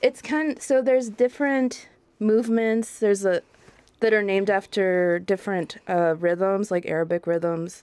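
In a normal speaking voice, a woman talks at medium pitch and moderate pace with ordinary pitch variation and very even loudness. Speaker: bassoonist and music curator. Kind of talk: radio interview chat. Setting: radio studio.

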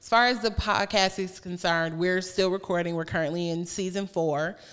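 In a plain, everyday voice, a woman with an American accent talks at a moderate pace and a fairly low pitch with fairly even intonation, on a very clean recording with a silent background. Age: 30s. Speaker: author and podcaster. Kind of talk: casual interview.

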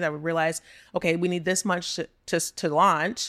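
This voice has a Texan accent and a monotone, flat intonation. The recording is very clean, with a silent background. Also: woman, dry, close sound with no echo. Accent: Texan American. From Texas (Texas City, Gulf Coast). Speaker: entrepreneur and business consultant. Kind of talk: casual interview chat.

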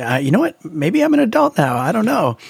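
Very fast and somewhat breathy, the voice has ordinary pitch variation and a dry, close sound with no echo. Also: man. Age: 30s. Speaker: musician and YouTube creator. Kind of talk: casual chat.

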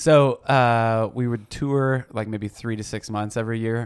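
In a very clean recording with a silent background, a man with an American accent uses an ordinary speaking voice, fairly low in pitch, at a fairly slow pace with ordinary pitch variation. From Missouri (Blue Springs). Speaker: pastor and activist. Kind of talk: casual interview.

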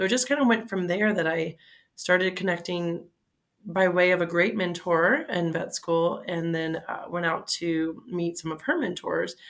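In an American accent, a woman with a fairly low pitch and an unremarkable speaking voice talks at a moderate pace on a very clean recording with a silent background. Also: ordinary pitch variation. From South Florida, Fort Lauderdale. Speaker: veterinary dermatologist. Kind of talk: professional interview.

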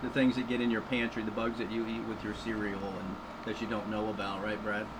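A man with an American accent talks at a medium pitch with fairly even intonation. Noticeable background noise and audible room echo fill the recording. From US South, southeast Florida. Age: 50s. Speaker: entomology professor. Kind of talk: radio interview. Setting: studio.

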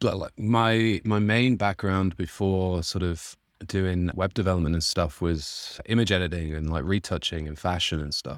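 A man talks with a Mancunian accent at a moderate pace. His pitch is very deep and low, with ordinary variation. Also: very clean recording, silent background. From northern England, Manchester. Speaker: indie software developer, plugin founder. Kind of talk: interview, casual chat.

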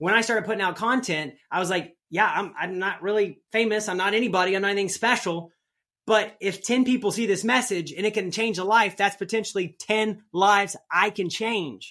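A man with an American accent speaks in a raised, projected voice at a fairly quick pace. His tone is bright and sharp, his pitch high, and the recording very clean with a silent background. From US Midwest. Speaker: rodeo athlete and entrepreneur. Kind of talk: casual interview. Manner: animated.

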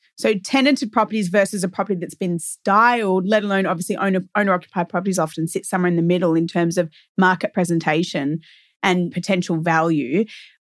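A woman with an Australian accent talks very fast at a medium pitch, her pitch moving in an ordinary way over a quiet background. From Melbourne, Australia. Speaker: real estate agent podcast co-host. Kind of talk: casual chat.

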